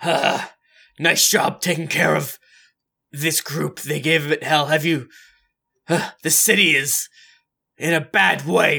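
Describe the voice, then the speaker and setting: Putting on a character voice, a man with a raspy sound and a fairly high pitch speaks at a fairly slow pace with long, frequent pauses. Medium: actual play. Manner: casual, offhand.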